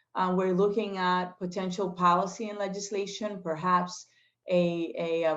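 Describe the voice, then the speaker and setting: With a Spanish accent, a woman talks at a medium pitch with ordinary pitch variation. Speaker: state legislator. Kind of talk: interview. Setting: video call. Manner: hesitant, many fillers.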